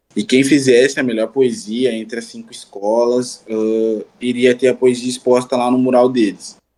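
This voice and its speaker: A man speaks at a fairly slow pace in a dark, mellow tone. His pitch is medium and his intonation fairly even. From Rio Grande do Sul, Brazil. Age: 20s. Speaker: rapper. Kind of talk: interview.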